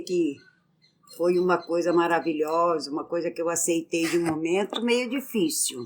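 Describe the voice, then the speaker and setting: A woman at a fairly slow pace, fairly low in pitch, with ordinary pitch variation and long, frequent pauses. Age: 60s. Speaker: host's mother, interviewee. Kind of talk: interview. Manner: direct, brief answers.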